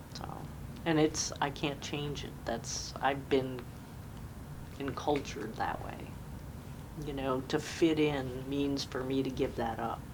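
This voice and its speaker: Over noticeable background noise and audible room echo, a woman speaks very slowly in a very deep, low pitch with monotone, flat intonation and long, frequent pauses. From US Northeast (Jamestown, New York). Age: 60s. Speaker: military veteran. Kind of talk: oral history interview.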